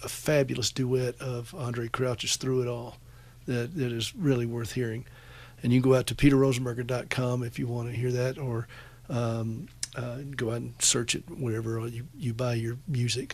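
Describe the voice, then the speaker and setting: A man with an American accent, somewhat breathy and monotone with flat intonation, at a moderate pace. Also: medium pitch for a man. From US South, upstate South Carolina (Anderson). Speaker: radio host. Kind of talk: call-in radio show.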